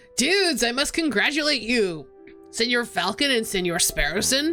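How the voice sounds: Over clear music in the background, a woman does a put-on character voice at a high pitch, with very wide pitch swings, very even loudness and a moderate pace.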